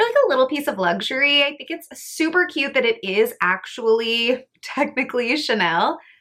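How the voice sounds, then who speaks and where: A woman with a high pitch speaks in a raised, projected voice, her tone bright and sharp and her intonation lively, with hardly any pauses. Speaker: beauty and lifestyle vlogger. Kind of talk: casual product review vlog. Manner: fast; animated.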